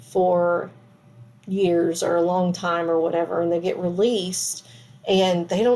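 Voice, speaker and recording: A woman speaks with an American accent. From US South, Perry, Florida. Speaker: tarot reader. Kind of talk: tarot reading video. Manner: casual, many fillers.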